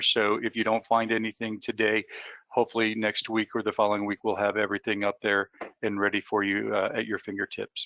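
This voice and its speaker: A man's fairly low, flat, monotone voice at a fairly quick pace. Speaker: software vendor representative. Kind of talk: webinar presentation. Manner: fast; halting, many fillers.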